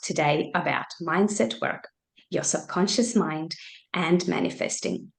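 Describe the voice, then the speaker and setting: A woman has an ordinary speaking voice with a fairly low pitch. She speaks at a fairly slow pace with ordinary pitch variation. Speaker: mindset coach. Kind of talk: webinar presentation. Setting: video call.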